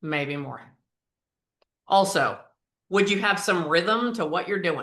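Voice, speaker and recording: A woman's medium-pitched voice with an American accent, very slow in pace, with ordinary pitch variation. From US Mid-Atlantic. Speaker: performance coach. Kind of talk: interactive training session.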